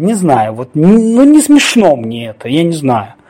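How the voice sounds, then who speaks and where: A man is speaking. His tone is dark and mellow. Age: 40s. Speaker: podcast host. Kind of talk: solo podcast monologue.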